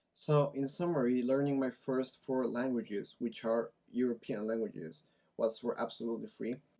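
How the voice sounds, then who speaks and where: In a Spanish accent, a man talks at a moderate pace and a medium pitch. His tone is dark and mellow, with ordinary pitch variation. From Mexico. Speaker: language-learning YouTuber. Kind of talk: casual vlog talk to camera.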